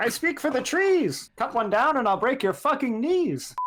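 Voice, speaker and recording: A loud, put-on character voice at a fairly high pitch moves at a moderate pace over sound effects in the background. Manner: loud and stupid.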